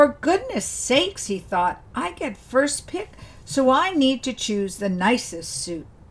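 A woman's warm, gentle, high voice at a very slow pace, with very wide pitch swings and noticeable background noise. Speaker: storyteller. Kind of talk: fairy-tale narration of a folk story. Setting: video channel, solo recording. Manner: warm, gentle storyteller's pacing.

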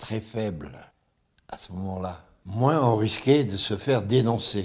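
A man with a fairly low pitch speaks at a very slow pace. His pitch varies in an ordinary way against a quiet background. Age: 80s+. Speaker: war witness. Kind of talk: interview answer. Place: home room. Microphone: handheld.

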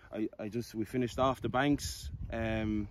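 There is noticeable background noise around a man whose voice sounds dry, with no echo. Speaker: gallop construction contractor. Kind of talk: interview answer. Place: open country. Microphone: phone near.

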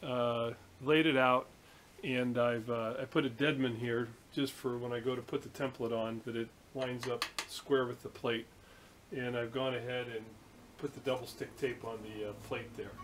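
Noticeable background noise sits under a voice that moves at a moderate pace with a monotone, flat intonation. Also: man. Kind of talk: casual tutorial narration. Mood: good-humoured, self-mocking. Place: workshop. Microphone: camera far.

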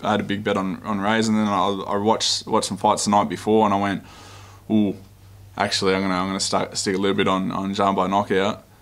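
A very fast man with an Australian accent, a fairly low pitch and monotone, flat intonation. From Australia, Melbourne. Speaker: MMA fighter. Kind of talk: pre-fight media interview. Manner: casual, laid-back. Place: meeting room. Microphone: podium.

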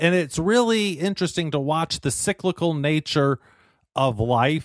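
A man talks at a fairly slow pace in a fairly high pitch, his loudness very even, in a plain, everyday voice. The sound is dry with no echo, against a quiet background. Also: lively intonation. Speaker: radio show host. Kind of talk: interview question. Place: studio.

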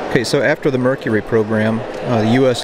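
A man talks at a fairly quick pace with ordinary pitch variation, the sound dry with no echo but loud background noise behind him. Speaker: travel vlogger. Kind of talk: casual vlog chat, museum tour commentary. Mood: enthusiastic, curious. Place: hall. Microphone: lapel.

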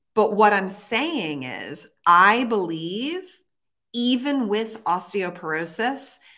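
Against a quiet background, a woman speaks very slowly. Her tone is bright and sharp, and her intonation is lively. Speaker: fitness trainer and live show host; fitness trainer, live show host. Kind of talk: casual live chat. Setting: live stream, studio or home. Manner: animated, chatty. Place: gym. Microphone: webcam.

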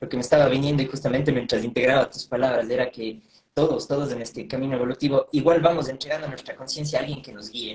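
The speech moves at a very fast pace with fairly even intonation, and audible room echo is present. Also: man. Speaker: interviewer. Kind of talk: interview. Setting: Instagram live video call. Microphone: video call.

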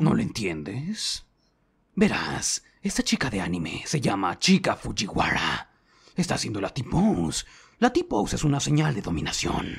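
Using a put-on character voice, a man speaks at a moderate pace with a medium pitch. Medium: dub. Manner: playful, eager.

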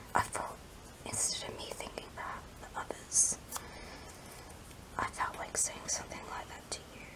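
Someone whispers with long, frequent pauses. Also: moderate pace. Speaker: ASMR creator. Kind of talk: ASMR whispered talk to camera. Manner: soft, whispered, emotional. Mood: wistful, emotional. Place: home room. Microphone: phone near.

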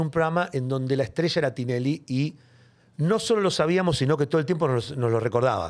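In a plain, everyday voice, a man speaks with a fairly high pitch and lively intonation. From Buenos Aires, Villa Devoto; Buenos Aires. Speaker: TV comedian and host; TV comedian, host. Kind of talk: casual interview. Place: studio. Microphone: studio mic.

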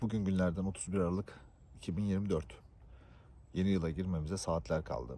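With a dark, mellow tone and a very deep, low pitch, a man talks at a moderate pace, leaving long, frequent pauses. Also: ordinary pitch variation. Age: 20s. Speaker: YouTuber, tech worker. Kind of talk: vlog monologue.

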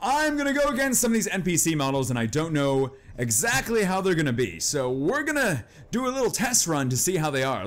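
Talking at a fairly quick pace, a man lets his pitch swing very widely. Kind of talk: gameplay commentary.

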